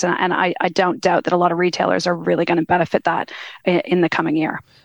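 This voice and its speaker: A woman talks very fast at a fairly low pitch, with vocal fry. Her pitch variation is ordinary. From Canada. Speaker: retail sector lead and business partner at a consulting firm. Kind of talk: casual interview chat. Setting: studio.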